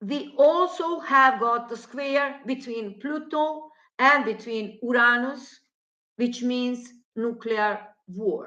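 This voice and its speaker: A bright, sharp tone with a non-native accent, at a very slow pace. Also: woman, high pitch for a woman, ordinary pitch variation. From former Yugoslavia. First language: Slavic language. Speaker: astrologer. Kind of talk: monologue on astrology and politics. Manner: halting.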